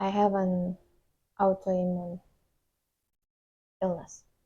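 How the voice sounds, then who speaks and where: This woman has a medium-pitched, somewhat breathy voice with a dark, mellow tone. She speaks with a non-native accent and a monotone, flat intonation. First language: Indonesian. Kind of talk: casual vlog talk to camera.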